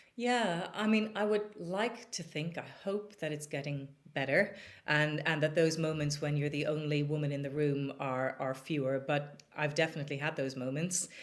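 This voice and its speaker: A woman speaks with an Irish accent at a very deep, low pitch. Her pace is moderate and her pitch variation ordinary. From Ireland, Dublin. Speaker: business executive. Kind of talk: podcast interview.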